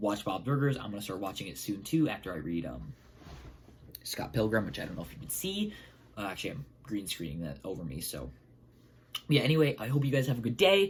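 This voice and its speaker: The speech comes at a very fast pace but stops for long, frequent pauses. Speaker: film reviewer. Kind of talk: casual video review. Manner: halting, many fillers.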